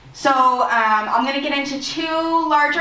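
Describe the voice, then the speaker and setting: With lively intonation, a woman speaks over noticeable background noise and audible room echo. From Nova Scotia, Mi'kmaq community (Enfield). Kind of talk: conference presentation. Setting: community hall with audience. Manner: fast; hesitant fillers, unscripted.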